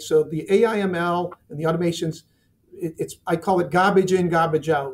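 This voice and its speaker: A high-pitched man at a moderate pace, with fairly even intonation. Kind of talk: interview answer. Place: office.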